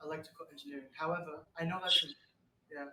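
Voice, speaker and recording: A man's fairly high voice at a very fast pace with fairly even intonation, music playing in the background. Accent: British. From UK. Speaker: actor, showbiz newcomer. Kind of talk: interview. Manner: halting, many restarts.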